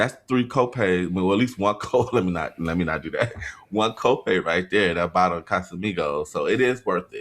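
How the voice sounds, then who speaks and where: A man with a fairly low pitch talks at a moderate pace in a plain, everyday voice, with ordinary pitch variation. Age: 40s. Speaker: podcast co-host. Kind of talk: casual chat.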